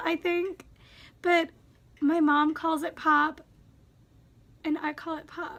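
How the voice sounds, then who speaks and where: With a Wisconsin accent, the speaker uses a raised, projected voice with a bright, sharp tone, flat monotone intonation and a fairly slow pace. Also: woman. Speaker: YouTuber. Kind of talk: casual vlog, reading and answering questions. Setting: home, sitting in a squeaky chair.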